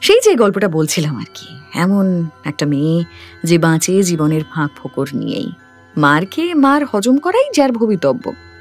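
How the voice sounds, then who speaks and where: A woman at a medium pitch whose voice swings very widely up and down. Music plays in the background. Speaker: radio jockey; audiobook narrator. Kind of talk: audiobook story narration.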